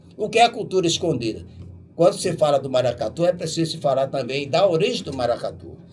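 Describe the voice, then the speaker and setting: Music plays in the background. A man is speaking. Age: 80s+. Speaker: musician and bandleader. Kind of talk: radio interview. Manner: emphatic, exhortative.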